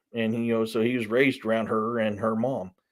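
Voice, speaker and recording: The recording is very clean, with a silent background. A man speaks in a Southern US accent. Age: 40s. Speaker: author. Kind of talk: casual live stream chat. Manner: casual, hesitant with fillers.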